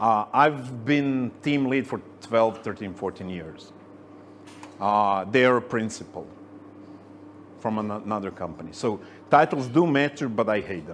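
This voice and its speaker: Talking at a fairly slow pace with long, frequent pauses, a man with a Croatian accent and medium pitch uses lively intonation and big swings in loudness. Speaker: senior software engineer, conference speaker. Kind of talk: tech meetup talk with Q&A.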